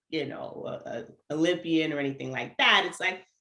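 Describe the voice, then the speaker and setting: In an American accent, a woman with a very deep, low pitch speaks at a moderate pace with an animated, bright, sharp tone and ordinary pitch variation. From New York, Antiguan family. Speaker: runner, educator and speaker. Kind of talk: casual interview chat.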